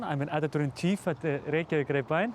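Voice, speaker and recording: A man speaks with an Icelandic accent. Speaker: newspaper editor-in-chief. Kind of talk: casual news commentary to camera.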